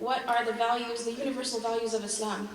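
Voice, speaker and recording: Over noticeable background noise and audible room echo, a woman with a high voice speaks at a very fast pace in a monotone, flat intonation. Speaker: Islamic scholar and speaker. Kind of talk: conference talk.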